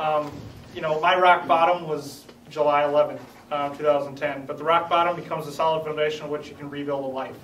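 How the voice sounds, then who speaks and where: Against noticeable background noise and audible room echo, a man with an American accent speaks at a fairly quick pace with a fairly high pitch and fairly even intonation. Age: 20s. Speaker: brain injury survivor and advocate. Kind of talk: testimony. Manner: halting.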